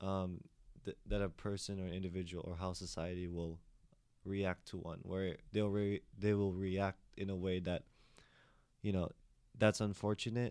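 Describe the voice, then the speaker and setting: A man with an American accent speaks at a moderate pace in a very deep, low pitch. His delivery is monotone and flat. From Philippines. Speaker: podcast host and student discussant. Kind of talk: casual panel discussion.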